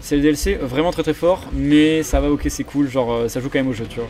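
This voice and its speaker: Through noticeable background noise, a man races along at a very fast pace with a fairly high pitch and ordinary pitch variation. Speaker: esports commentator. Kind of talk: live commentary.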